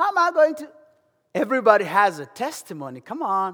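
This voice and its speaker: He keeps to a moderate pace. The voice belongs to a man. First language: African native language. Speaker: lay preacher. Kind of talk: sermon. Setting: church. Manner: animated.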